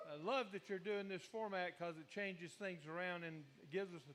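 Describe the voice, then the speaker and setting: A man with an American accent talks at a fairly quick pace in a high pitch, his pitch varying in an ordinary way. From Virginia (Newport News). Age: 70s. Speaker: audience member telling racing stories. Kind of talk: casual storytelling at open mic. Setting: live radio show at a beach bar.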